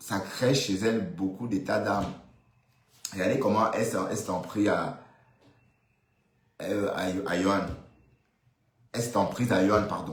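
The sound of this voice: With strong room echo, a man speaks fairly slowly at a fairly low pitch and ordinary pitch variation.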